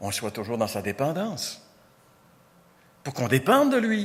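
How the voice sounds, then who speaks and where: Pitch swinging very widely, this man's speech keeps a moderate pace. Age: 60s. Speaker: pastor. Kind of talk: sermon.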